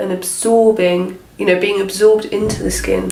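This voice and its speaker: A woman with a British accent, fairly slow pace, fairly even intonation, and noticeable background noise. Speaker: beauty vlogger. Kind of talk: casual talk to camera.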